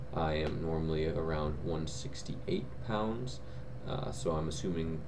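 Noticeable background noise surrounds a man whose voice is very deep and low. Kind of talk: casual vlog chat. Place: home room. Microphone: webcam.

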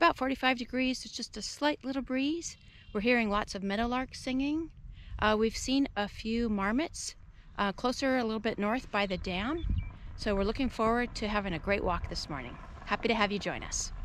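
A woman at a moderate pace with ordinary pitch variation, light background noise, and a dry sound with no echo. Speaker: hiker vlogger. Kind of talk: casual vlog chat. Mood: cheerful, relaxed. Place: open country. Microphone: phone near.

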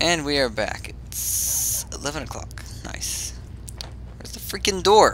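Over noticeable background noise, the voice moves at a very slow pace with big swings in loudness. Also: man. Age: 20s. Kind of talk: casual gameplay commentary.

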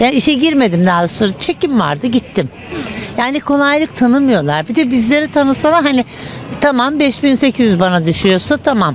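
A woman speaks at a moderate pace, the sound dry with no echo and light background noise present. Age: 60s. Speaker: retiree interviewed in street; interviewee. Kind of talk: street interview. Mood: indignant, complaining about money. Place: street. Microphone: handheld.

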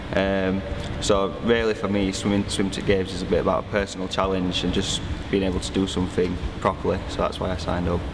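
A man with a Yorkshire accent at a very fast pace, over noticeable background noise. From Barnsley, Yorkshire, northern England. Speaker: adult swimming learner. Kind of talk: interview testimony. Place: hall.

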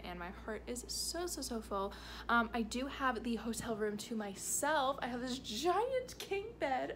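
Light noise hums in the background. A woman talks at a fairly slow pace. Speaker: travel vlogger. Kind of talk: casual vlog chat. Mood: warm, content. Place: home room. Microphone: phone near.

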